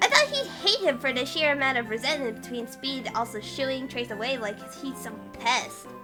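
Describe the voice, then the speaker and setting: A female-sounding voice puts on a character voice at a high pitch for a woman. She speaks at a moderate pace over clear music in the background. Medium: dub.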